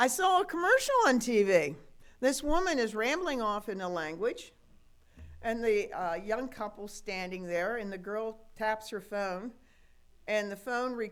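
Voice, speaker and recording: The speech moves at a fairly slow pace with lively intonation, and audible room echo surrounds it. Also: woman, fairly high pitch for a woman. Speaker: pastor. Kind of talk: sermon. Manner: conversational, folksy.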